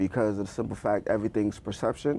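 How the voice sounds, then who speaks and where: Very fast speech with vocal fry from a man with an American accent and a fairly low pitch. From Bronx, New York. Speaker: actor and rapper. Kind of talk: podcast interview. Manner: halting.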